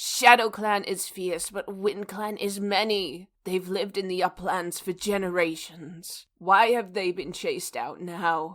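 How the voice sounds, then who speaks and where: A female-sounding, put-on character voice comes out hoarse and croaky. It runs on with hardly any pauses. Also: medium pitch for a woman, fairly slow pace. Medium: audio drama.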